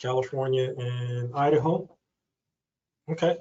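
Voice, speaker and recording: With monotone, flat intonation, a man speaks in a somewhat breathy voice. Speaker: financial advisor. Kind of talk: webinar presentation with Q&A.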